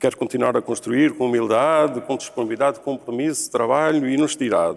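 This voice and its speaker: A man speaks in a medium pitch with fairly even intonation. His delivery is fairly quick. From Portugal, Alto Alentejo (Nisa). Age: 60s. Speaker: local politician, candidate for mayor. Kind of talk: political debate. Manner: halting, with fillers and repetitions.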